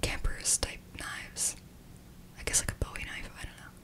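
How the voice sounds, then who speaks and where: A soft-spoken woman whispers at a moderate pace. There is noticeable background noise. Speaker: video host. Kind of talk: true crime storytelling narration. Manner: soft close-mic ASMR whisper. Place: home room. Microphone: studio mic.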